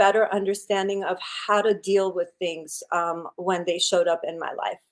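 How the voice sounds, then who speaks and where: Speaking in a Persian accent, a woman talks at a fairly slow pace with a medium pitch. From Iran, raised in US from childhood. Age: 50s. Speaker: wellness coach. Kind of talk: interview.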